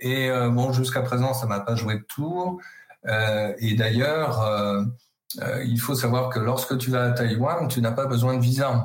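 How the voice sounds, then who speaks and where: A man at a very slow pace, with very even loudness and fairly even intonation. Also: medium pitch for a man. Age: 50s. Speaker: university professor, China specialist. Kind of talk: interview. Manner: hesitant, many filler words.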